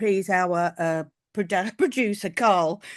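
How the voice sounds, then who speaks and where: Against a quiet background, a woman with a British accent speaks at a medium pitch with lively intonation. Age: 60s. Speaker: podcast co-host. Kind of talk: casual chat.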